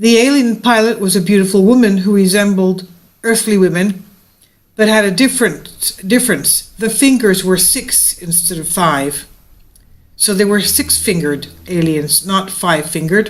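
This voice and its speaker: Medium pitch from a female speaker, varied in an ordinary way. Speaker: video narrator. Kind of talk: reading aloud. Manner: slow; halting.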